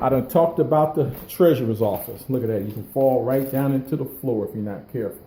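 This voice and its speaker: The voice belongs to a man. He talks loudly. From Detroit, west side. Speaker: video blogger. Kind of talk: walkthrough vlog. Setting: inside vacant house.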